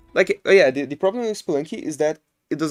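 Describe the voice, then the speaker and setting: A man with a non-native accent talks at a fairly quick pace with ordinary pitch variation, in a dry, close sound with no echo. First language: not English. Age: 20s. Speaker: game streamer. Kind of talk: live gameplay commentary. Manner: casual, thinking aloud.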